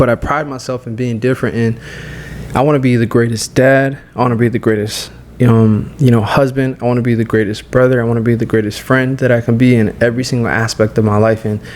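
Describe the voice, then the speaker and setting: Very fast speech over noticeable background noise. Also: man, medium pitch for a man. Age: 20s. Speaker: fitness coach. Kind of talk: casual chat. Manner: animated.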